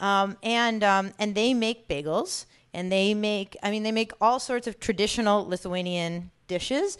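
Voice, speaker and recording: Over a quiet background, a woman with a plain, everyday voice speaks at a fairly slow pace, her medium pitch varying in an ordinary way. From New York area. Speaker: food entrepreneur and cookbook author. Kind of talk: talk to an audience.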